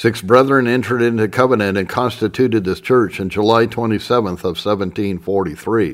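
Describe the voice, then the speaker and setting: Speaking fairly quickly, a man with a fairly low pitch and fairly even intonation has an ordinary speaking voice. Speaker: audiobook narrator. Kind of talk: literary audiobook reading of historical text. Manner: formal, measured, solemn narration; steady, even-paced reading.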